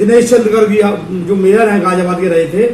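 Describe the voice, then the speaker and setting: A man speaks at a high pitch and a moderate pace. The recording has audible room echo and noticeable background noise. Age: 60s. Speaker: local politician. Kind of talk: interview.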